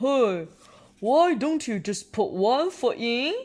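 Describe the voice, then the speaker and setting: In a put-on character voice with a fairly high pitch, someone speaks at a very slow pace over a quiet background. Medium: read story.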